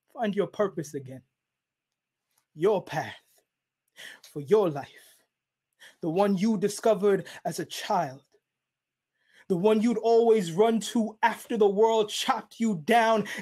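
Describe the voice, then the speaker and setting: Against a quiet background, a man speaks fairly slowly at a high pitch, with ordinary pitch variation and long, frequent pauses. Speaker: spoken word poet. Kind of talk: spoken word performance. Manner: rhythmic. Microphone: webcam.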